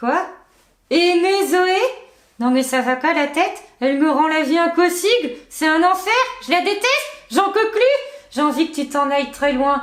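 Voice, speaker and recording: A woman puts on a character voice at an extremely high pitch with lively intonation. She keeps a moderate pace and leaves long, frequent pauses. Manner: exasperated, mocking.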